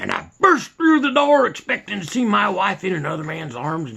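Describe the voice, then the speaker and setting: A man uses a raspy, put-on character voice with very wide pitch swings. He talks at a moderate pace. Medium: solo performance. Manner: folksy, rambling.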